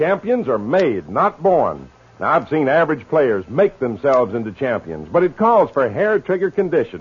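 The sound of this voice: Speaking at a moderate pace with few pauses, a man with medium pitch and a husky, rough edge makes very wide pitch swings.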